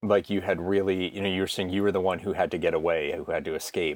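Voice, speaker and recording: A man is talking. His pace is fairly quick. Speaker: podcast host. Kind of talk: casual interview.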